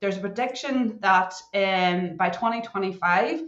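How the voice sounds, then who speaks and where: With an audible room echo, a woman in a Northern Irish accent speaks at medium pitch and a fairly slow pace with lively intonation. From Northern Ireland. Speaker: cybersecurity consultant. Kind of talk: podcast interview. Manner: animated.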